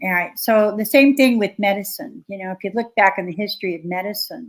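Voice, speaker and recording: Speaking at a fairly quick pace, a woman with an ordinary speaking voice keeps a medium pitch and ordinary pitch variation, with big swings in loudness. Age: 60s. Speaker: researcher and author. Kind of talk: interview conversation.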